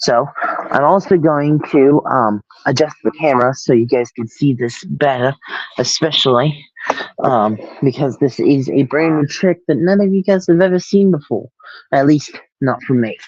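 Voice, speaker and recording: The speech moves at a moderate pace with ordinary pitch variation. Long, frequent pauses break it up. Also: man, fairly high pitch for a man. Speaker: magician. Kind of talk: magic performance demo. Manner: casual, filler-heavy. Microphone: possible audio issues.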